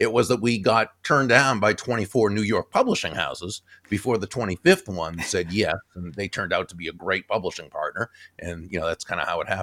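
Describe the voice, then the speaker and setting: In a dry, close sound with no echo, a normal speaking voice with an American accent moves at a fairly quick pace with ordinary pitch variation. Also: man, fairly low pitch for a man. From US Northeast, Boston area. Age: 60s. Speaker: author and keynote speaker. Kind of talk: interview. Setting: video call.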